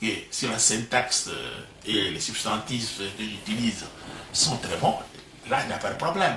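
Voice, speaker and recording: Amid noticeable background noise and audible room echo, a man with a Congolese accent talks at a fairly slow pace with long, frequent pauses, his medium pitch showing ordinary variation. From DR Congo, Bas-Congo. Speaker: professor. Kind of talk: interview. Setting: at home. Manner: halting, repeats words.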